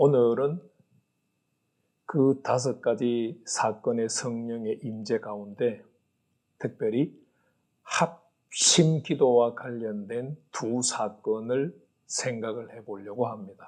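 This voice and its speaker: A man speaks very slowly, with long, frequent pauses. His pitch varies in an ordinary way. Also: medium pitch for a man. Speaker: pastor teaching Bible. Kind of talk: Bible lecture. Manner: measured, with frequent 'uh' fillers.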